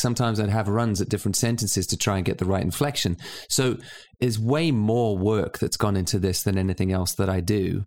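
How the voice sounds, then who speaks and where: A man with a fairly low pitch talks at a fairly quick pace. The recording is very clean and the background silent, and his pitch varies in an ordinary way. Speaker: photographer and audiobook author. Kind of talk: casual conversation. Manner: fast talker.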